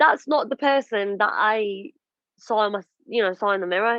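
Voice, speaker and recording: A woman with a plain, everyday voice speaks at a fairly quick pace and fairly high pitch, with ordinary pitch variation. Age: 30s. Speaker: radio and TV presenter. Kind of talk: podcast interview, personal story. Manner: emotional, reflective.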